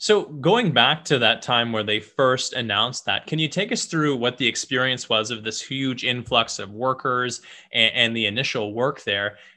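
A man speaks in an ordinary speaking voice with ordinary pitch variation. He leaves hardly any pauses. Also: medium pitch for a man, moderate pace. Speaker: podcast host and mortgage professional. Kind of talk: casual interview.

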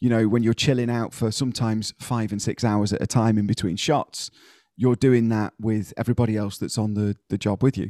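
An ordinary speaking voice: a man at a medium pitch talks at a fairly quick pace with fairly even intonation, in a dry, close sound with no echo against a quiet background. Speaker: podcast host. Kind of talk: casual chat. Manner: chatty, joking.

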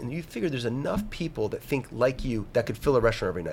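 A man with an American accent talks at a very fast pace, his pitch medium and his intonation lively. His voice is somewhat breathy. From New Jersey. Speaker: restaurateur and wine professional. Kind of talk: casual interview chat.

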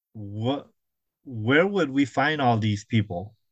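A man at medium pitch with lively intonation against a quiet background. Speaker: comic book artist. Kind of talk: casual interview. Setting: video call.

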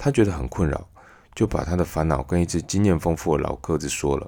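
A man with a Taiwanese accent and vocal fry. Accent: Taiwanese Mandarin. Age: 30s. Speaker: podcast host. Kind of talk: storytelling monologue.

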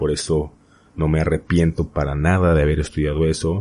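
A man talks in a very deep, low pitch with a monotone, flat intonation. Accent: central Mexican. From Mexico, Hidalgo. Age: 20s. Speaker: podcast host. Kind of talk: solo podcast monologue, personal storytelling. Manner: hesitant with fillers and repetitions.

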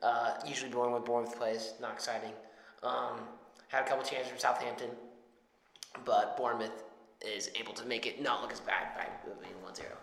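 A man with an American accent, talking fairly quickly in a flat monotone, with big swings in loudness, long, frequent pauses and noticeable background noise. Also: medium pitch for a man. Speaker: podcast co-host. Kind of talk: casual banter about football and betting picks.

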